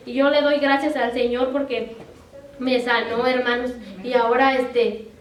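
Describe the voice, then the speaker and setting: Against noticeable background noise and audible room echo, a woman talks at a fairly slow pace in a high pitch with monotone, flat intonation. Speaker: preacher. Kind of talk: sermon.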